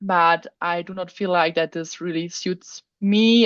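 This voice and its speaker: At a very slow pace, a woman with a non-native accent speaks in fairly even intonation. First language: not English. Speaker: workshop participant, human design reader. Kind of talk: casual chat. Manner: halting.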